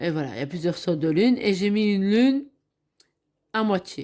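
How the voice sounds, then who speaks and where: Over a very clean recording with a silent background, a woman speaks with ordinary pitch variation. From Belgium. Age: 50s. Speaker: craft hobby youtuber. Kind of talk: craft show-and-tell tutorial. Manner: hesitant, with fillers.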